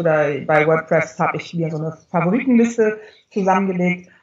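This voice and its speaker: A woman speaks at a fairly low pitch and a moderate pace. Hers is an unremarkable speaking voice with ordinary pitch variation. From northern Germany. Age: 40s. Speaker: communications expert and genealogy blogger. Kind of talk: interview, casual chat.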